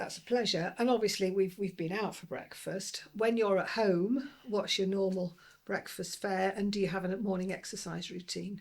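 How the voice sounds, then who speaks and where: Talking with hardly any pauses at a moderate pace, a woman with a Lancashire accent speaks at a medium pitch with fairly even intonation. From Lancashire, northern England. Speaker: podcast host, former transport regulator. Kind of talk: interview.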